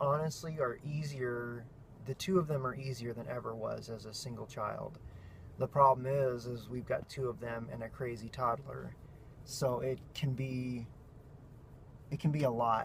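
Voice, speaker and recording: A medium-pitched male voice at a fairly slow pace, with ordinary pitch variation. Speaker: family vlogger. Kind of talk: vlog monologue. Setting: in a car. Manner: animated.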